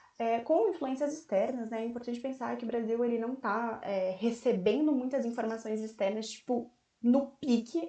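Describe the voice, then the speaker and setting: A woman talks at a fairly quick pace and fairly high pitch, with hardly any pauses. Her pitch varies in an ordinary way, and there is audible room echo. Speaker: volunteer history teacher. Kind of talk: online lecture. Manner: fast; casual, slangy.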